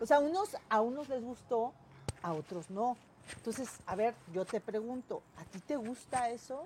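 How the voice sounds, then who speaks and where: A woman with a fairly high pitch speaks fairly slowly, her intonation lively and her loudness rising and falling sharply. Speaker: interviewer, online news show host. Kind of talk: interview; reading viewer comments and greetings. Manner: halting, many fillers.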